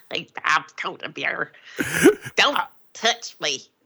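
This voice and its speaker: This is a put-on character voice at a middle pitch. It sounds croaky. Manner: warding people off.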